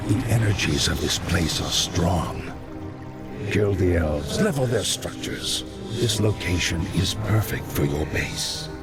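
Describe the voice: With clear music in the background, a man in a put-on character voice speaks slowly at a low pitch with lively intonation.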